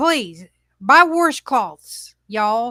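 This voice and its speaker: In a raised, projected voice with a bright, sharp tone, the speaker uses very wide pitch swings and a strong Southern US accent, recorded very cleanly against a silent background. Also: woman. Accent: thick Southern country. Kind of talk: casual, emphatic, speaking directly to listeners.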